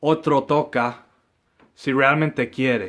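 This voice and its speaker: Fairly high pitch and fairly even intonation in a man's voice. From US Midwest, Saint Paul, Minnesota. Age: 20s. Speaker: flamenco guitarist. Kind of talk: personal monologue. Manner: halting, many fillers.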